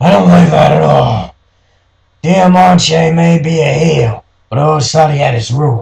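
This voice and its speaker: A put-on character voice from a man, raspy and fairly high-pitched, with lively intonation at a moderate pace. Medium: read story. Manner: world-weary, knowing.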